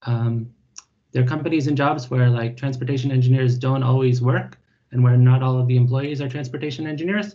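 A man speaks at a fairly quick pace, his voice somewhat breathy and his intonation fairly even. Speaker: speaker. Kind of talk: lecture. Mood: friendly, relaxed. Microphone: video call.

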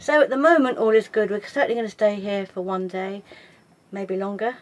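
A woman at medium pitch, fairly quick, with fairly even intonation

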